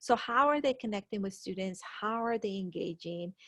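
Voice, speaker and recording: A normal speaking voice from a woman, fairly high in pitch with ordinary pitch variation, in a dry, close sound with no echo and a quiet background. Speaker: school administrator. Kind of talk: presentation to parents.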